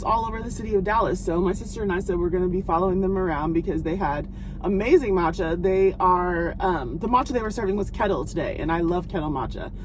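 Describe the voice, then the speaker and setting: A woman talks very fast with hardly any pauses, her pitch in the medium range. Music plays in the background, and the room echo is audible. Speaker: lifestyle vlogger. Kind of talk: casual vlog talk to camera.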